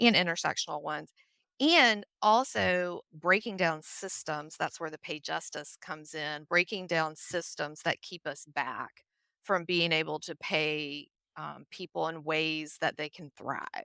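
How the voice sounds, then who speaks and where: A woman speaks at a fairly slow pace with a Southern US accent, her very deep, low pitch carrying a bright, sharp tone, ordinary pitch variation and big swings in loudness, in a very clean, dry, close recording with a silent background and no echo. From US South, Nashville, Tennessee. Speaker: HR consultant. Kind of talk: podcast interview.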